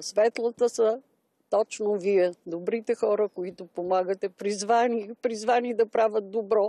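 This woman has a fairly high pitch and a dark, mellow tone, speaking at a fairly slow pace with fairly even intonation but big swings in loudness. The background is quiet, and the sound is dry with no echo. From Bulgaria. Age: 80s+. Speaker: pensioner; interviewee. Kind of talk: testimony. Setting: outdoors. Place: garden. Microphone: handheld.

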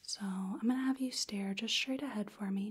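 A soft-spoken woman with a calm tone and a somewhat breathy voice. Her intonation stays fairly even. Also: quiet background. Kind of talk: roleplay, soft-spoken exam narration. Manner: soft-spoken calm clinical ASMR voice. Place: home room.

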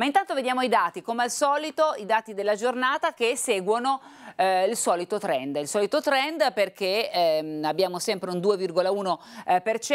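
The speaker moves at a moderate pace with very wide pitch swings against a quiet background. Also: woman. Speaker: TV presenter. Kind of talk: news presentation. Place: studio.

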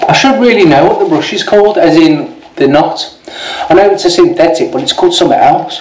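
A man talks at a fairly quick pace in a high voice with very wide pitch swings, over light background noise and audible room echo. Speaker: shaving video creator. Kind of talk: casual product review and demo. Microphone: phone near.

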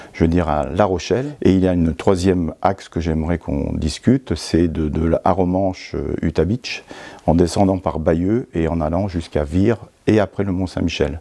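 The voice has a dark, mellow tone and ordinary pitch variation. It moves at a moderate pace against a quiet background. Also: man. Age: 60s. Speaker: local politician. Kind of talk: interview. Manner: halting. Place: hall.

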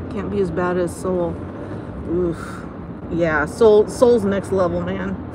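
A woman with an American accent speaks at a very slow pace, taking long, frequent pauses, her voice dry with no echo over noticeable background noise. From United States. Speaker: vlogger. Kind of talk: live stream chat while driving. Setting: in a car. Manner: animated. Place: car.

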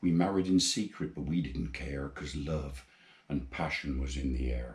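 The speaker has a Gloucestershire accent and a somewhat breathy voice with ordinary pitch variation. The pace is moderate, and room echo is audible. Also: man, very deep, low pitch for a man. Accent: Forest of Dean. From England, Forest of Dean, Gloucestershire; England. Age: 80s+. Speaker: amateur poet. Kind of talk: poetry reading; personal introduction. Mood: tender, wistful. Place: home room.

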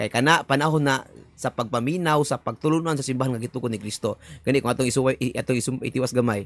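Speaking very fast with ordinary pitch variation, a man with a Cebuano accent is heard in a dry sound with no echo. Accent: Cebuano-speaking Filipino. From Philippines, Visayas. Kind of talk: video commentary. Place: home room.

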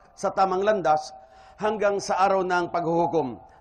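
With music in the background, a man talks at a high pitch in a monotone, flat intonation. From Philippines, Iloilo. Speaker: Islamic preacher. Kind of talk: religious lecture. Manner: formal.

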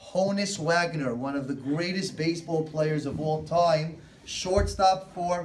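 A man with a high voice speaks very slowly with ordinary pitch variation. Light background noise is present. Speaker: coach or teacher. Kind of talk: lecture. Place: classroom. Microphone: phone near.

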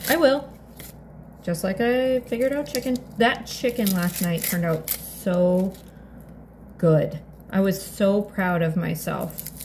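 A woman's lively intonation at a fairly slow pace, with long, frequent pauses and light background noise. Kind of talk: casual vlog chat. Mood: chatty, playful. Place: kitchen. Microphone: phone near.

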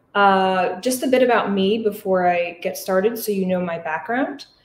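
Pitch varies in an ordinary way. Room echo is audible over light background noise. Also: woman. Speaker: physical therapist. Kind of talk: lecture. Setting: live audience in person and online. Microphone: webcam.

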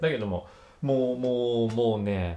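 A man with an animated tone at a fairly slow pace. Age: 30s. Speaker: YouTuber reviewing TV dramas. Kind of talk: casual commentary monologue. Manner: animated, frequent laughter.

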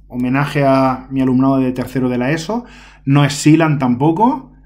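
Fairly high male speech, fairly slowly delivered, with noticeable background noise behind it. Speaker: secondary school teacher. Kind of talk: casual solo gameplay commentary. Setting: home recording. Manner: chatty, hesitant with fillers.

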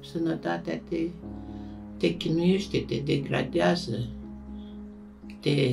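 A woman at a very slow pace, with long, frequent pauses and music in the background. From Romania. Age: old. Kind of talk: documentary interview answer.

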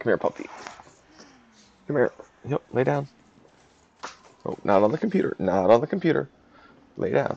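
Quiet, fairly quick mumbling with long, frequent pauses, a dry sound with no echo and light background noise. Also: man. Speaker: game commentator. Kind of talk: gameplay analysis commentary. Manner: mumbling, quiet. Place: home room.

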